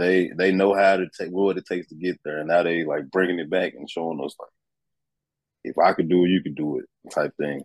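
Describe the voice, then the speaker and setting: A man speaks at a very deep, low pitch with fairly even intonation. The sound is dry and close, with no echo. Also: fairly quick pace. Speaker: college football player. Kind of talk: interview. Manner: halting.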